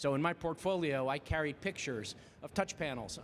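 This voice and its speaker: This man has a fairly high pitch and a New Jersey accent. His pitch varies in an ordinary way. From New Jersey, Jersey Shore. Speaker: AV industry professional, conference presenter. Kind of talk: conference presentation. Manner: very fast; animated.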